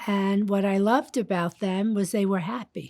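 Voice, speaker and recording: A woman with a New York accent at a medium pitch, ordinary pitch variation and a fairly slow pace, in a very clean recording with a silent background and a dry, close sound with no echo. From Brooklyn, New York. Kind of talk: interview testimony.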